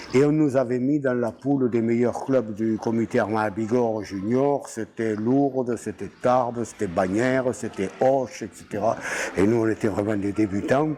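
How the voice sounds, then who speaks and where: Noticeable background noise surrounds this recording. A man speaks at a medium pitch with fairly even intonation. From southwest France, Gers (Mirande). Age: 80s+. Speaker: retired rugby coach. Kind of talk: interview, life story. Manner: halting, many hesitations.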